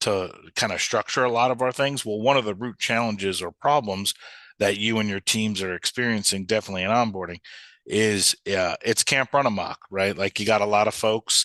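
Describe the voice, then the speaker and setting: Over a quiet background, a man with an American accent speaks at a fairly low pitch in a bright, sharp tone, with a dry, close sound and no echo. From New York. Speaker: software company sales leader. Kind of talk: webinar presentation. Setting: live webinar. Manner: fast; animated.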